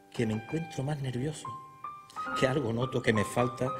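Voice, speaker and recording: Clear music in the background accompanies a man as he talks. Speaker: Holy Week proclaimer, poet. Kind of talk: poetry reading. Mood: solemn, emotional devotion. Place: stage. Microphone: podium.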